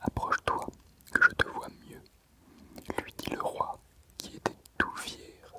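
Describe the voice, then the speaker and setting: Whispering at a very slow pace over noticeable background noise. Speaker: ASMR reader. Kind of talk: sleep story reading from a book. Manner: very soft whisper.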